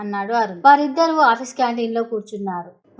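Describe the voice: What you hear is plain reading aloud.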